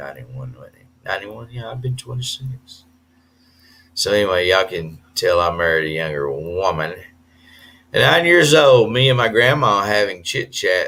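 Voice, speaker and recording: A man with a Southern US accent and a bright, sharp tone speaks at a moderate pace and fairly low pitch, with very wide pitch swings and big swings in loudness. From US South. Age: 50s. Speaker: expat vlogger. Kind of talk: live stream chat. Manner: hesitant with fillers.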